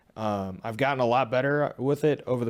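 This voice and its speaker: A man talks at a moderate pace with fairly even intonation. The recording is very clean, with a silent background. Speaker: professional wrestler and trainer. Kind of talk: casual interview chat. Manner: normal speaking voice, not gravelly character voice.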